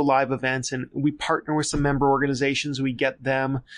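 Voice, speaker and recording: Against a quiet background, a man with an American accent talks at a fairly quick pace in a fairly high pitch. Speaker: marketing agency founder. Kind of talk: interview.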